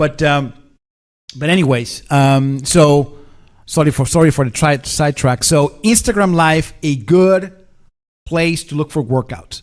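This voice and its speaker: A fairly high-pitched man with a Spanish accent and ordinary pitch variation, in a very clean recording with a silent background. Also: fairly slow pace. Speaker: tech expert and live show host. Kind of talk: casual live-stream chat. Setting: live stream.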